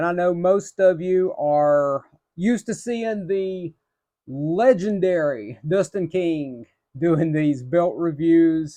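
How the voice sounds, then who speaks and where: With an Appalachian accent, a man talks at a very slow pace in a high-pitched voice with a dark, mellow tone against a quiet background. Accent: Appalachian hillbilly. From Appalachia, northeastern Tennessee / southwestern Virginia. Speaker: belt collector reviewer, telecom department manager. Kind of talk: casual product review video. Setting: home room with belts on wall.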